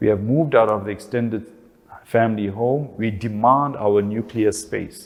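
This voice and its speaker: Spoken at a moderate pace with a South African accent, the voice keeps a fairly even intonation. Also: man, fairly low pitch for a man. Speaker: family relationships speaker. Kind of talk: talk.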